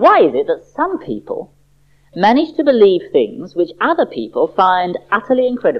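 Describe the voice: The speaker is doing plain reading aloud. Nothing more marks the delivery.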